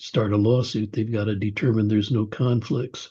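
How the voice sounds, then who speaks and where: A man's somewhat breathy voice, dark and mellow in tone, with fairly even intonation. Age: 80s+. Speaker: author and attorney. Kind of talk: interview.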